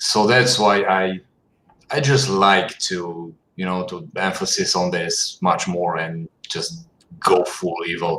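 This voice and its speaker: Speaking at a very slow pace, a man with a non-native accent uses a very deep, low pitch and ordinary pitch variation. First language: not English. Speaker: concept artist. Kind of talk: casual chat. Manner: halting.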